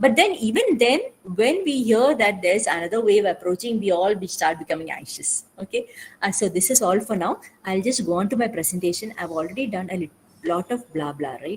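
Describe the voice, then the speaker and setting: At a fairly quick pace, a woman speaks at medium pitch with lively intonation and a somewhat breathy voice. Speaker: mental health speaker. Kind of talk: webinar talk. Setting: online webinar. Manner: fast; hesitant, many fillers.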